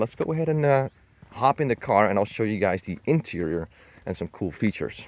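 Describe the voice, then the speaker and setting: A man with a non-native accent speaks at a fairly quick pace with lively intonation and a dark, mellow tone. The recording is very clean with a silent background, and the sound is dry and close with no echo. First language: not English. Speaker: car enthusiast YouTuber. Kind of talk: car walkaround review. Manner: casual, hesitant with many fillers.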